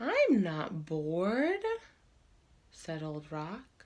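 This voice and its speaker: In a put-on character voice, a female-sounding speaker uses a fairly low pitch and a calm tone. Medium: read story. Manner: calm, unhurried.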